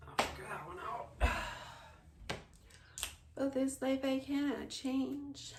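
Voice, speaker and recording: A high-pitched woman at a very slow pace, with fairly even intonation, big swings in loudness and noticeable background noise. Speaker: ASMR streamer. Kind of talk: casual talk to camera. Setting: home stream.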